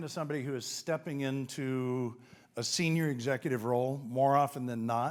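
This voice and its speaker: A man at a fairly quick pace, on a very clean recording with a silent background. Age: 60s. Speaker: business coach and keynote speaker. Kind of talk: keynote speech. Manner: animated.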